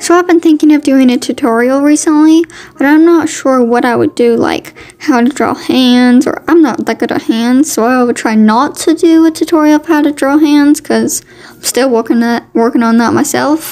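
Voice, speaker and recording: A woman talks at a moderate pace in a high pitch with ordinary pitch variation. Noticeable background noise can be heard. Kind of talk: casual voiceover narration of a drawing video. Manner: chatty, informal.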